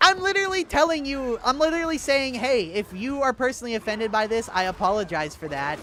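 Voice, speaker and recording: Through noticeable background noise, a man raises and projects his voice at an extremely high pitch, his tone animated, his pitch swinging very widely and his pace fairly quick. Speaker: gaming livestreamer. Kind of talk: casual livestream chat reading comments.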